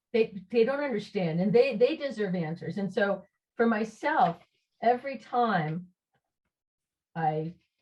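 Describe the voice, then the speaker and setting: A woman's somewhat breathy, medium-pitched voice with an American accent, at a moderate pace. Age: 60s. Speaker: socialist activist, discussion presenter. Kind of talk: online group discussion. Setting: video call. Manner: halting, many fillers and restarts.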